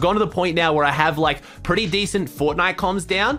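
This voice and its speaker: With an Australian accent, a man talks fairly quickly in a high voice with ordinary pitch variation, over noticeable background noise. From Australia, Sydney. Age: 20s. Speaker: Fortnite streamer. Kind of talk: casual chat.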